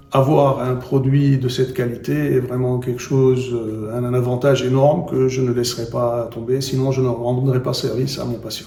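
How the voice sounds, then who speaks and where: At a moderate pace with hardly any pauses, a man speaks at a medium pitch in a monotone, flat intonation, with noticeable background noise and audible room echo. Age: 60s. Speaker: endodontist and professor. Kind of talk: interview. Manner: hesitant, with fillers and repetitions.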